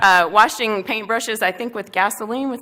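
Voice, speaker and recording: A woman speaks with a strong Southern US accent at a fairly high pitch. Noticeable background noise runs underneath. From US South, Columbia, South Carolina. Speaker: national park deputy superintendent. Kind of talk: keynote speech. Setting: stage with audience at dinner event.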